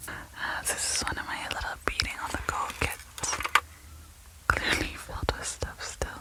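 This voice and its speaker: A woman whispers at a fairly slow pace, leaving long, frequent pauses. Noticeable background noise runs underneath. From Yellowknife, Northwest Territories, Canada. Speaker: storyteller and radio host. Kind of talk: ASMR show-and-tell, casual talk. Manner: soft-spoken.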